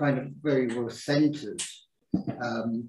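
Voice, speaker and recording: A man's somewhat breathy, medium-pitched voice, fairly slow in pace and fairly even in intonation. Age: 60s. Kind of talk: group discussion. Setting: livestreamed group talk.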